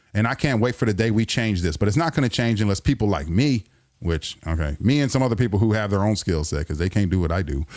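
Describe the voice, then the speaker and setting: Talking at a very fast pace, a man with a fairly low pitch sounds animated, his voice swinging very widely, on a very clean recording with a silent background. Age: middle-aged. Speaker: radio host. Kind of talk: live-stream monologue.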